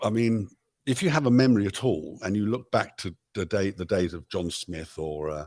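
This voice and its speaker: Over a silent background in a very clean recording, a man with a British accent and fairly low pitch speaks at a moderate pace. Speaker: pop musician. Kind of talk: interview answer.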